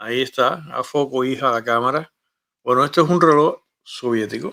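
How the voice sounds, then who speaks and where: A plain, everyday voice from a man, fairly high-pitched, at a moderate pace with ordinary pitch variation. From Cuba. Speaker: YouTube show host, former radio host. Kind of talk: casual monologue to camera. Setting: home studio.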